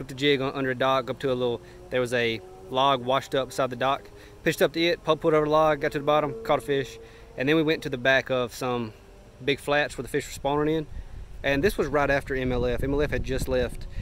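A man's very fast speech with fairly even intonation, dry with no echo, over light background noise. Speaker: fishing vlogger. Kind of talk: casual vlog chat. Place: garden. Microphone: phone near.

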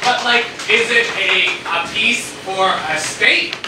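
A man talks at a very slow pace amid loud background noise, with audible room echo. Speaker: improv comedy performer. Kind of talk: improv comedy scene at a pub. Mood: puzzled, playful. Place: bar. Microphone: camera far.

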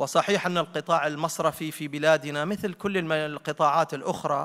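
Over a quiet background, a man with a fairly high pitch and a bright, sharp tone speaks at a moderate pace with fairly even intonation. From Oman. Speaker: conference secretary-general giving opening speech. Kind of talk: formal speech. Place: hall. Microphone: podium.

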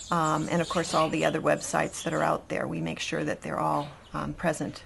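A woman with an American accent speaks at a moderate pace. Her pitch is fairly low, and there is noticeable background noise. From Boston, US Northeast. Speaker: real estate agent. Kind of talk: interview.

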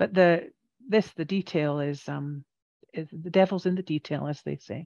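A woman's very deep, low voice with a Scottish accent, dark and mellow in tone, at a moderate pace with ordinary pitch variation and big swings in loudness, dry with no echo over a quiet background. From Scotland. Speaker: radiation therapist. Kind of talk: educational presentation to a support group. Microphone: headset.

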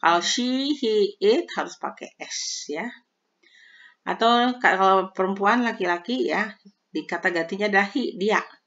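This woman speaks at a very slow pace. Her intonation is lively. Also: fairly high pitch for a woman. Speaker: English teacher on video channel. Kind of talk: tutorial.

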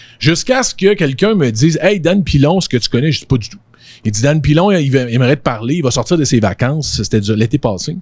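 Speaking at a fairly quick pace, a man with a fairly high voice sounds animated and somewhat breathy, with a dry, echo-free sound and a quiet background. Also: lively intonation. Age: 40s. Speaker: podcaster and social media influencer; podcaster, social media influencer. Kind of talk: casual conversation. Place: studio. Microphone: handheld.

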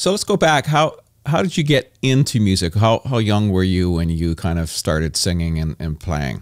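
A man's very deep, low voice at a moderate pace, very wide pitch swings, dry sound with no echo, quiet background. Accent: Canadian. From Canada. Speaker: podcast host and musician. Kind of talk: casual interview chat. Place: studio.

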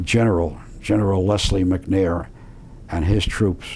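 A man speaks in a very deep, low pitch with a dark, mellow tone, somewhat breathy, over light background noise. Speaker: war veteran. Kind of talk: interview answer. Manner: articulate, colorful storyteller. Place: home room.

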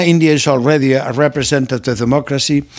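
Over a quiet background, a man with a non-native accent speaks at a moderate pace. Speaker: political commentator. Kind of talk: lecture. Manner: formal. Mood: earnest, persuasive. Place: home room. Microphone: studio mic.

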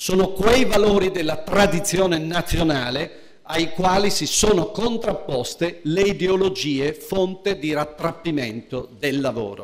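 A man at a fairly slow pace with lively intonation, light background noise behind him. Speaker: politician at a party conference. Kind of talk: political speech. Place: hall. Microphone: podium.

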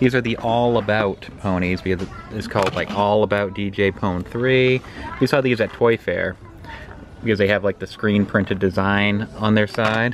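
Music plays behind a man with a fairly low pitch. His pace is moderate and his intonation fairly even. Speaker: family vlogger. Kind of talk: casual vlog chat. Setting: in a car.

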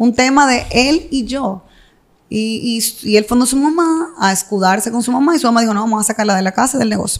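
With a Dominican accent, a woman talks at a fairly quick pace in a fairly high pitch, her pitch varying in an ordinary way. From Dominican Republic, Santo Domingo. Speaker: entrepreneur and mother in a divorce dispute. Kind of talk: interview testimony.

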